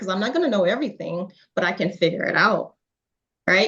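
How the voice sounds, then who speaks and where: This woman's intonation is lively. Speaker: business owner. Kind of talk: interview.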